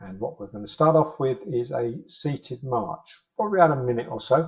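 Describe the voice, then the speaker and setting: Speaking at a medium pitch, a man with a British accent uses lively intonation. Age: 60s. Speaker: fitness instructor. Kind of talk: exercise class instruction. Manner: encouraging, instructive.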